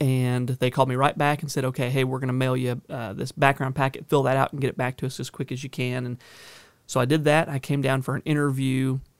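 A man with a Southern US accent at medium pitch, very fast, with fairly even intonation, in dry, close sound with no echo on a very clean recording with a silent background. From Northern California. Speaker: county sheriff. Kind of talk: interview. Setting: studio. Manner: repeats words often, halting starts.

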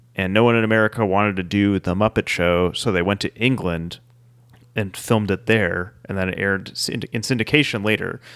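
An ordinary speaking voice, talking at a fairly quick pace with fairly even intonation. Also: man, fairly low pitch for a man. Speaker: podcast co-host. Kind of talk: casual chat.

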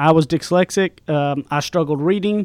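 A man with a Southern US accent speaks at high pitch and a moderate pace, with ordinary pitch variation. The recording is very clean with a silent background and a dry, close sound with no echo. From East Texas, rural. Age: young. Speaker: podcast co-host, author, salesman. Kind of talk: casual chat. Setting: studio.

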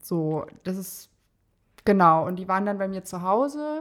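The speaker is a woman with a medium pitch. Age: 20s. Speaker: mother in training as an educator. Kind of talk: personal story interview.

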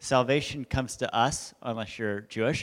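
A plain, everyday voice from a man with an American accent, medium pitch, ordinary pitch variation and a moderate pace, on a very clean recording with a silent background. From Southern California, Huntington Beach. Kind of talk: testimony. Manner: casual, filler-heavy.

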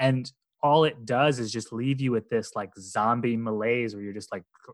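Keeping his intonation fairly even, a man uses an unremarkable speaking voice at a medium pitch. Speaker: podcaster. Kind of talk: casual chat.

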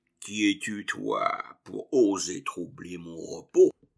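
In a put-on character voice, a man growls at a very slow pace. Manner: growling, imperious.

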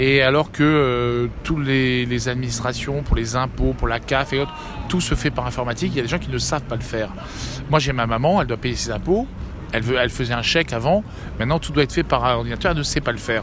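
Music plays in the background while the speaker talks at a fairly quick pace with ordinary pitch variation. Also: man. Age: 50s. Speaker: mayor. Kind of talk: interview. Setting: live at a trade fair. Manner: halting, many repetitions.

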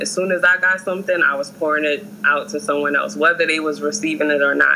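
A woman with an American accent at a very fast pace, with ordinary pitch variation and noticeable background noise. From New York, Harlem. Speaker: school counselor. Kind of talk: casual chat.

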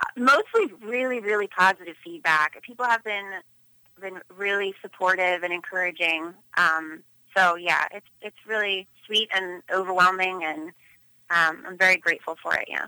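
A woman's medium-pitched voice with a bright, sharp tone, ordinary pitch variation and big swings in loudness, dry and close with no echo. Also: moderate pace. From Philadelphia, Pennsylvania. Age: 30s. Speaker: photographer. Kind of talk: interview. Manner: hesitant with many fillers.

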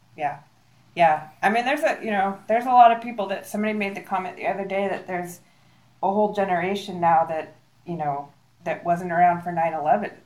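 Fairly quick speech with ordinary pitch variation and noticeable background noise. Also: woman, medium pitch for a woman. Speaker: nonprofit director. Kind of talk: casual interview chat. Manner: halting, filler words.

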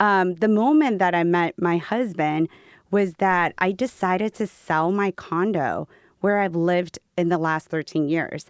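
A woman with an ordinary speaking voice, fairly low pitch, ordinary pitch variation, fairly slow pace and very even loudness, on a very clean recording with a silent background and a dry, close sound with no echo. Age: 40s. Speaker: skincare company founder. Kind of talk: interview.

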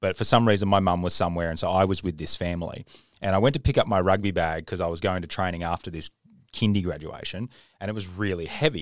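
A man with an Australian accent, very deep and low in pitch, talking at a very fast pace with ordinary pitch variation, on a very clean recording with a silent background. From Queensland, Australia. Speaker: podcast host. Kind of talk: casual chat. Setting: studio.

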